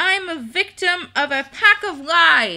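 A woman in a put-on character voice, pitched extremely high, speaks in a raised, projected voice with a whiny, panicked tone that stays whiny throughout. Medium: virtual streamer. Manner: whiny, indignant, then panicked wailing.

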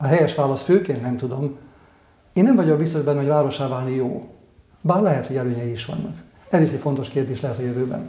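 Speaking at a very fast pace, a man with a fairly high pitch leaves long, frequent pauses. The room echo is audible. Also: ordinary pitch variation. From eastern Hungary. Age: 60s. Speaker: local council candidate, retired engineer; council candidate. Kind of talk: candidate interview. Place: home room. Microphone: lapel.

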